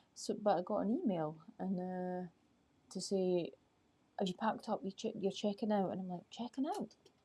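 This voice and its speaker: A soft-spoken woman's medium-pitched voice with vocal fry, a dark, mellow tone, ordinary pitch variation and a fairly quick pace. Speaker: life coach. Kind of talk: live stream chat. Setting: outdoors at night.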